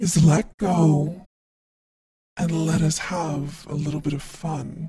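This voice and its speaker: A put-on character voice sits at a middle pitch. It moves at a very slow pace. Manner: enticing, tempting.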